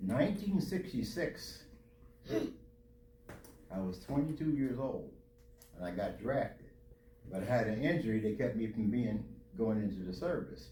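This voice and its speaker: A man talks at a fairly slow pace, leaving long, frequent pauses. His pitch swings very widely, and audible room echo surrounds him. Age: 80s+. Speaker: Air Force veteran and pastor. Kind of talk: Q&A talk to students.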